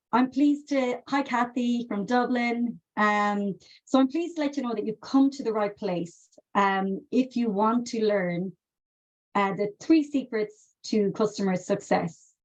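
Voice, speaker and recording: A woman talks at a fairly slow pace in a fairly high pitch. Her voice is somewhat breathy. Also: ordinary pitch variation. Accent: Irish. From west of Ireland, County Mayo. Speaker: customer success consultant and trainer. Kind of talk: webinar presentation. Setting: live webinar video call. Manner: conversational, many fillers.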